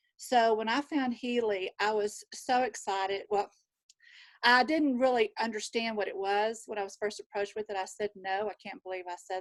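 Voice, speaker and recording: A woman with a Southern US accent speaks at a fairly high pitch with fairly even intonation. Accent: Southern drawl. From Texas. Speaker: nurse. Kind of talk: casual chat.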